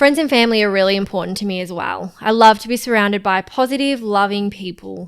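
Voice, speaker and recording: With an Australian accent and a medium pitch, a woman speaks very fast with hardly any pauses, big swings in loudness and ordinary pitch variation, in a very clean recording with a silent background. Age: 20s. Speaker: podcast co-host, freelancer. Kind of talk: casual podcast chat.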